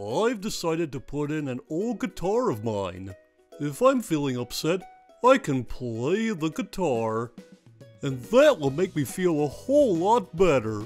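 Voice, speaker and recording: Faint music plays behind a cartoonish character voice at middle pitch, talking at a fairly slow pace with very wide pitch swings. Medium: puppet show. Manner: easygoing.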